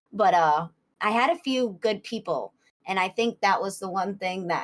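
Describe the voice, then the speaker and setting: A woman talks at a moderate pace with a Boston accent. Her pitch is medium. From US Northeast, Boston area. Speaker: streamer. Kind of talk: interview.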